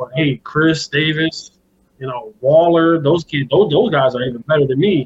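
In a plain, everyday voice, a man with an American accent speaks at a moderate pace. His pitch varies in an ordinary way. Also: fairly high pitch for a man. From Buffalo, New York. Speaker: high school football coach and recruiting scout. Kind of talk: casual interview. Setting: phone call.

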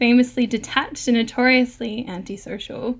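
A woman with an Australian accent speaks at a high pitch. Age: 20s. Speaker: podcast host and freelance writer. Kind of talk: panel discussion moderation. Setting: remote recording.

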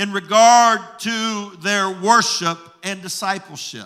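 This man speaks very slowly in a raised, projected voice. His tone is bright and sharp, and his pitch is high. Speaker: pastor. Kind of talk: sermon. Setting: church with congregation.

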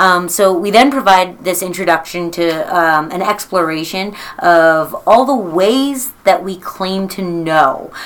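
A woman speaks at a fairly slow pace with hardly any pauses, at medium pitch with ordinary pitch variation, in an ordinary speaking voice. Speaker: high school teacher. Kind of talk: interview.

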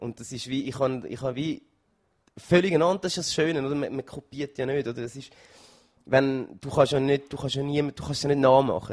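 Speaking at a fairly quick pace, a man keeps a fairly even intonation while his loudness swings widely. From Switzerland, Zürich. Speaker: singer in a band. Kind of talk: interview. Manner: halting.

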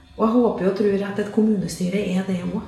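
A woman at medium pitch talks at a moderate pace in a monotone, flat intonation. Noticeable background noise and audible room echo are present. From Trøndelag, Norway. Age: 50s. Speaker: local politician. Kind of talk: interview. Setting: studio.

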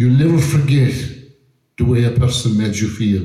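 A man with an Irish accent, medium pitch and a somewhat breathy voice, amid audible room echo. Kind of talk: talk to audience.

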